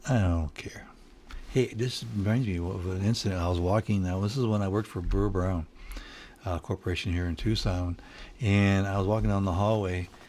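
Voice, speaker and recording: A man with a Detroit accent, fairly low in pitch, at a fairly quick pace with fairly even intonation. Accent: Midwestern US (Detroit). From Michigan, Detroit area. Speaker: home studio musician. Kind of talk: casual solo video talk. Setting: home studio. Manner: halting, many fillers and repeats.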